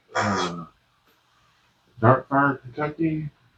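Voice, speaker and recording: A man's relaxed tone and lively intonation over noticeable background noise. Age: 50s. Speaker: pipe smoking YouTuber. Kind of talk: casual monologue review. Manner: rambling, halting. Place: home room.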